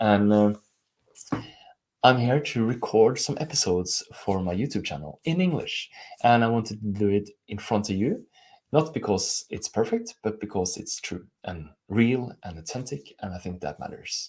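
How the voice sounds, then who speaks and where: With a Norwegian accent, a man speaks using lively intonation. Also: fairly low pitch for a man, moderate pace. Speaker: life coach. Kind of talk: live stream talk. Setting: live stream on camera.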